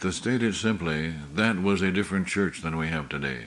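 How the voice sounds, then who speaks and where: Audible room echo around a man's very deep, low voice. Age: 70s. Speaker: pastor. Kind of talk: sermon. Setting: church meeting.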